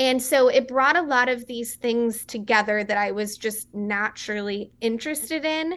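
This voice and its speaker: A woman with an American accent, an ordinary speaking voice, fairly high pitch, ordinary pitch variation, a moderate pace and hardly any pauses. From West Texas. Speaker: beverage company founder. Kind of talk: interview.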